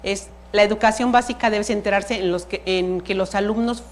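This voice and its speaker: This woman's medium-pitched voice keeps a fairly even intonation. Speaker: museum educator. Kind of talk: lecture. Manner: fast; halting.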